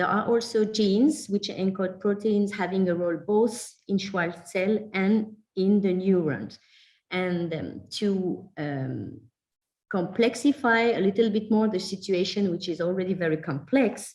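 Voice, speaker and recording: Speaking at a fairly slow pace, a woman sounds somewhat breathy, with a medium pitch and ordinary pitch variation. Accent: French. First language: French. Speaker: genetics researcher. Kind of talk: lecture. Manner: hesitant, many fillers.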